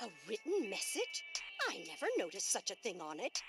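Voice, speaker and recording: A put-on character voice with a fairly high pitch and very wide pitch swings moves at a fairly quick pace. Clear music plays in the background. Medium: video game. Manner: repetitive.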